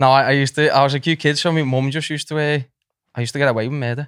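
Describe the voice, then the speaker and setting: A man talks at a very fast pace with a Liverpool accent. The recording is very clean, with a silent background. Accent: Scouse. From Liverpool area, England (moved from Nottingham at three). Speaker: comedian and social media content creator. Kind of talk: casual chat.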